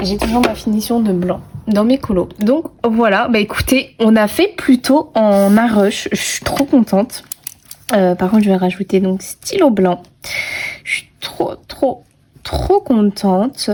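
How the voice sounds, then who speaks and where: A woman with a fairly high voice speaks very slowly, her pitch varying in an ordinary way over noticeable background noise. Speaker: coloring video creator. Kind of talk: casual tutorial commentary while coloring. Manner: chatty, with many hesitations.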